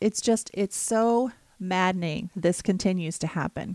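In a dry, close recording with no echo, a woman speaks at a medium pitch and a fairly slow pace, with ordinary pitch variation, on a very clean recording with a silent background. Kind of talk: angry political rant. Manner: animated, rising and accusatory.

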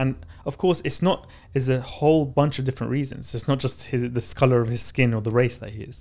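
With a London accent, a man speaks somewhat breathily at a fairly quick pace, his medium pitch showing ordinary variation and his loudness swinging widely. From Baghdad, Iraq, then London. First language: Arabic. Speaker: author and startup founder. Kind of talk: interview.

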